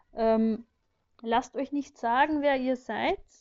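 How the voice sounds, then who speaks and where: Her voice high-pitched, a woman speaks with fairly even intonation. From Vienna, Austria. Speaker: friend of host. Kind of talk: recorded voice message.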